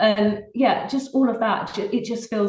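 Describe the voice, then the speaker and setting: With a strong British accent, a woman speaks at a moderate pace and with fairly even intonation. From England, Oxfordshire. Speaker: singer-songwriter. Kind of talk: interview.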